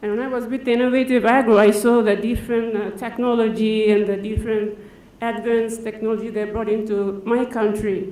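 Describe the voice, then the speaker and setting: Talking at a fairly quick pace, a woman with a fairly high pitch keeps a monotone, flat intonation, with audible room echo and noticeable background noise around her. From Papua New Guinea. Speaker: farm manager. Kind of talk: conference talk.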